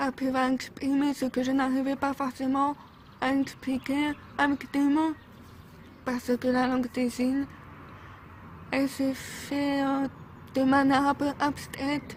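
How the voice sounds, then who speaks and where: Her high voice moves at a very slow pace with long, frequent pauses. The woman keeps a flat monotone and very even loudness. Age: 20s. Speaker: physiotherapist; deaf cochlear implant user. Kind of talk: talk to camera about personal experience.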